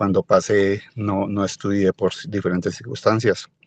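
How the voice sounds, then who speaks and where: A man speaks at a moderate pace in a fairly low pitch, the sound dry and close with no echo. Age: 60s. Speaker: merchant, participant in alumni dialogue. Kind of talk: personal testimony in online panel. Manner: halting, many repetitions.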